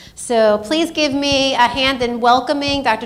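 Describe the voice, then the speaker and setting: Over noticeable background noise, a loud woman speaks in a high pitch with ordinary pitch variation. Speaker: event organizer and educator. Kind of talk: event introduction.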